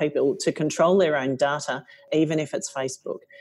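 Speaking fairly quickly in an Australian accent, a woman with a dark, mellow, fairly low voice uses ordinary pitch variation on a very clean recording with a silent background. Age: 50s. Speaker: company CEO. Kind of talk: interview.

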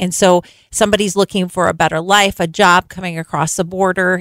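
A woman with a normal speaking voice talks in a fairly low pitch with fairly even intonation, on a very clean recording with a silent background. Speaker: nonprofit director. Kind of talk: radio interview. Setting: radio studio.

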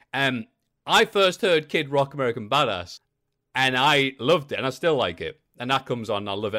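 A man with a Geordie accent talks at a fairly quick pace in a bright, sharp tone, his pitch swinging very widely, on a very clean recording with a silent background. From northeast England, Newcastle. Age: 30s. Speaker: wrestling content creator. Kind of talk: casual chat.

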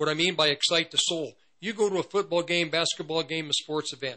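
An animated, fairly high-pitched man's voice. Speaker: radio ministry host and preacher. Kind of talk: radio sermon. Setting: radio studio. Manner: loud.

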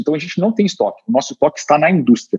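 Dark and mellow, the voice belongs to a man. It sounds dry and close, without any echo. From Curitiba, Brazil. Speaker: startup co-founder and executive. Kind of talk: interview.

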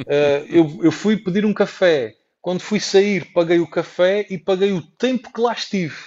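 Pitched high, a man speaks at a fairly slow pace. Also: ordinary pitch variation. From Portugal. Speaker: traveller and entrepreneur. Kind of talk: interview.

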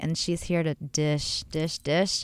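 In a very clean recording with a silent background, a woman with a fairly low pitch uses an ordinary speaking voice at a moderate pace. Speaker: podcast host and cosmetic dermatologist. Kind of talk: casual interview. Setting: studio.

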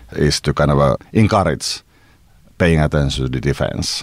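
There is noticeable background noise as a man with a very deep, low pitch talks at a fairly quick pace with ordinary pitch variation. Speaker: Finnish presidential candidate and security analyst. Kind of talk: interview.

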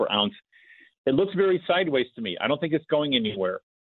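This is a man's voice. His intonation is lively. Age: 60s. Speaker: investment manager. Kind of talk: interview. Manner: animated.

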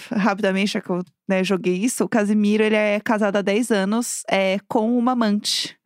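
A woman speaks at medium pitch in monotone, flat intonation with very even loudness. Her pace is fairly quick, on a very clean recording with a silent background. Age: 30s. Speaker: podcast co-host. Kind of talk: casual chat.

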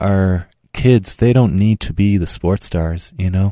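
Against a quiet background, a man with an Irish accent speaks at a fairly slow pace, his fairly low voice dark and mellow in tone. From Ireland, Tipperary. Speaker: cardiologist. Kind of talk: radio interview. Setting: studio.

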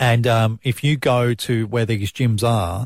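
In an Australian accent, a man talks at a medium pitch with fairly even intonation and a somewhat breathy voice, recorded dry and close with no echo on a very clean recording with a silent background. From South Australia. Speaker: breakfast radio host. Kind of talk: casual chat.

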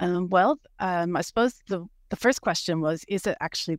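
A woman talks at a fairly quick pace with a slight Canadian accent and ordinary pitch variation. The sound is dry and close, with no echo. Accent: Canadian, slight after years in Australia. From Canada. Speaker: dairy farmer and PhD researcher. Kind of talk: webinar interview. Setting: video call webinar. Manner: hesitant, many fillers.

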